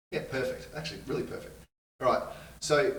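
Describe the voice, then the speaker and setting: Room echo is audible around the man. He talks very fast. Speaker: video production trainer. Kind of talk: tutorial.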